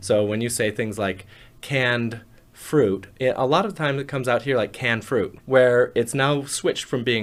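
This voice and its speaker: A man speaks at a moderate pace in a medium pitch with an American accent. It is an ordinary speaking voice. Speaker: phonetics professor. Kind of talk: interview answer.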